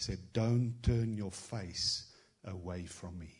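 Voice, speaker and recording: The man's somewhat breathy voice comes through with audible room echo. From South Africa. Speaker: travelling prophetic minister. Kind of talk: prophetic word in a church service. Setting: church with congregation.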